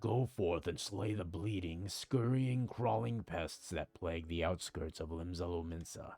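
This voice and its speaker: A man's put-on character voice, very deep and low in pitch, with lively intonation, a moderate pace, hardly any pauses and music in the background. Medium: virtual streamer. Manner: grave, blunt, declamatory.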